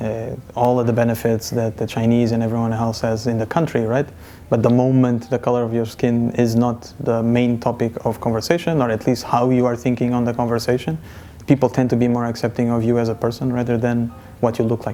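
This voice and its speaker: A man talks at a fairly quick pace. His intonation stays monotone and flat. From Portugal. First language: Portuguese. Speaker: interviewee. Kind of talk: personal testimony.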